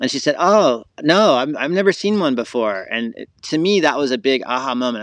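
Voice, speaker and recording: With ordinary pitch variation, a man speaks in an American accent. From US South, Florida. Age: 40s. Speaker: wildlife photographer. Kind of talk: casual chat. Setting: outdoors, in the woods.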